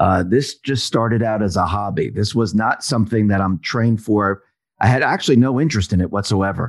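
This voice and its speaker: A man talks at a fairly quick pace with a fairly low pitch. His pitch variation is ordinary. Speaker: independent commentator. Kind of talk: casual interview chat. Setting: home studio, recorded remotely. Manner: loud.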